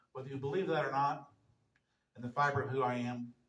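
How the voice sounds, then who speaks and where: Animated, somewhat breathy male speech at a fairly high pitch and fairly quick pace, with an American accent. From US Midwest, southwest Missouri. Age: 60s. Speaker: entrepreneur speaker. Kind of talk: motivational talk.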